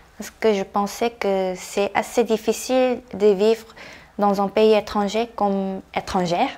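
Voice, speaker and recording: A woman with a Korean accent at medium pitch, very slow pace and fairly even intonation. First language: Korean (speaking French). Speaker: interviewee. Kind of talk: interview.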